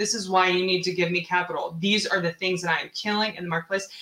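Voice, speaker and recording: A woman with an American accent speaks in an animated tone at medium pitch. Noticeable background noise runs underneath. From US Pacific Northwest, Seattle. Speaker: real estate investor. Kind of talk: interview.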